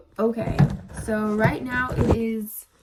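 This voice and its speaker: A woman with a fairly high pitch speaks at a very slow pace while music plays in the background. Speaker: real estate agent and vlogger. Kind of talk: casual vlog. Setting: home at night. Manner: casual, chatty.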